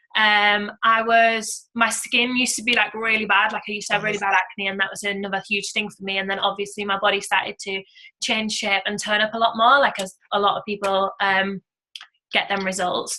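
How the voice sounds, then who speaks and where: A woman with a British accent speaks in a flat monotone. Her pace is fairly quick. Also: medium pitch for a woman. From UK. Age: 20s. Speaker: network marketing entrepreneur. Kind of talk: testimony. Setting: conference call. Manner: casual, filler-heavy.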